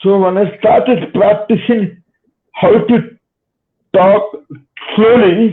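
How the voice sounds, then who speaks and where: Long, frequent pauses break up speech delivered very slowly. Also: man, high pitch for a man, ordinary pitch variation. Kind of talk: interview. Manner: slow, deliberate speech; halting, with repetitions.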